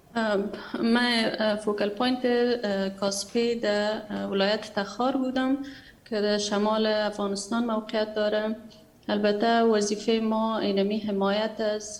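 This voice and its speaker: With an Afghan accent, a woman speaks very slowly at medium pitch in a monotone, flat intonation. Audible room echo and noticeable background noise surround her. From Afghanistan. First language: Dari. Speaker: human rights activist. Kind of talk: testimony. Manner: hesitant.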